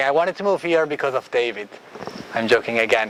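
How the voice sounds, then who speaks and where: A fairly high-pitched male voice amid noticeable background noise. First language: Italian. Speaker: architect and design researcher. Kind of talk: lecture. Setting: classroom.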